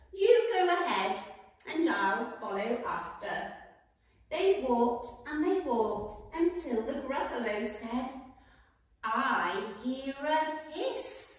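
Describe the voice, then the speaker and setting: Strong room echo fills the recording. A woman with a high pitch speaks at a very slow pace. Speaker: storyteller. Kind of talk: children's story reading. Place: home room. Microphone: camera far.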